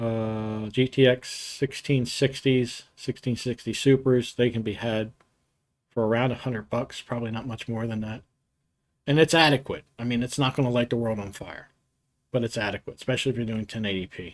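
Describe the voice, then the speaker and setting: A plain, everyday voice with an American accent, a moderate pace and fairly even intonation. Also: man, medium pitch for a man. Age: 60s. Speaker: computer hardware youtuber. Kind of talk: live stream Q&A and tech talk. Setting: live stream. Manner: casual, conversational with fillers.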